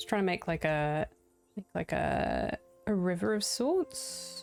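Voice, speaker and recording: A woman speaks quietly with a New Zealand accent. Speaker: game streamer. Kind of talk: casual live-stream commentary. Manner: quiet and chill; halting.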